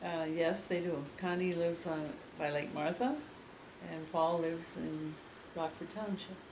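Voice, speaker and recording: With an Upper Midwest accent, a woman speaks at a fairly low pitch and a fairly slow pace, leaving long, frequent pauses amid audible room echo and noticeable background noise. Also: fairly even intonation. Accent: Upper Midwest (Minnesota). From Minnesota, Greenfield area. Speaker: local resident interviewee. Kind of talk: oral history interview. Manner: halting.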